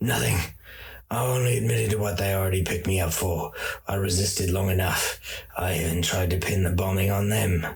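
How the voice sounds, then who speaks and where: Putting on a raspy character voice, a man speaks at a fairly quick pace with a very deep, low pitch, very even loudness and ordinary pitch variation. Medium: read story. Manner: defiant, pious.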